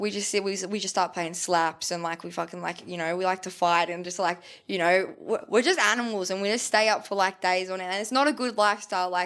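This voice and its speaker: Someone with an Australian accent talks at a very fast pace with hardly any pauses and fairly even intonation. The recording is very clean, with a silent background. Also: woman, medium pitch for a woman. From Australia, Melbourne (Port Melbourne). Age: 20s. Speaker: rapper. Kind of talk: casual chat.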